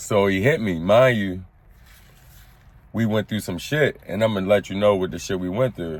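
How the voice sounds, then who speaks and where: A man with an American accent speaks at a moderate pace in a fairly low voice, with ordinary pitch variation and long, frequent pauses. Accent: Baltimore accent, viewers find it strong. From West Baltimore, US. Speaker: former prisoner storyteller. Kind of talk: storytime monologue. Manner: animated.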